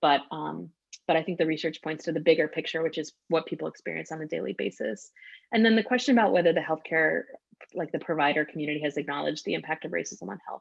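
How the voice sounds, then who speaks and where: A woman's very deep, low voice with vocal fry, very fast and with lively intonation. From US South, North Carolina, Cuban-American family. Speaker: writer and activist speaker. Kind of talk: Q&A answer in an online talk.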